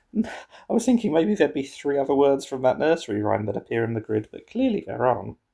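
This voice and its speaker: A man with a dark, mellow tone, fairly high pitch, very wide pitch swings and a very fast pace, in a very clean recording with a silent background. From England. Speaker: puzzle game streamer. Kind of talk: casual solo commentary while playing a word puzzle. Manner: thinking aloud, halting.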